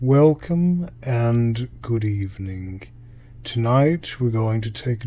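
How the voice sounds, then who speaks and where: Soft-spoken and somewhat breathy, a man talks very slowly at a fairly low pitch in a dark, mellow tone. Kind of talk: sleep story. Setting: no background music. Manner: slow, soft-spoken.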